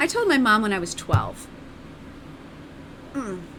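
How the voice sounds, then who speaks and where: An animated tone comes through at a moderate pace over noticeable background noise. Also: woman. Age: 40s. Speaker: streamer. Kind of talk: casual chat.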